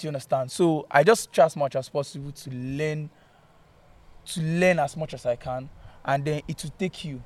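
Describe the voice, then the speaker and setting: Recorded very cleanly against a silent background, a man speaks at a moderate pace in a fairly high, somewhat breathy voice. His intonation is fairly even, though his loudness swings widely. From Port Harcourt, Rivers State, Nigeria. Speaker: video director and photographer. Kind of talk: casual interview chat. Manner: halting.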